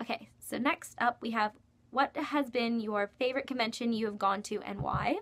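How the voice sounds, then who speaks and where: A woman talks at a moderate pace with a fairly high pitch. Her pitch variation is ordinary, and background noise is noticeable. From Kentucky. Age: 19. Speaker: YouTuber, university student. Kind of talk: casual Q&A vlog. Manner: casual, many filler ums.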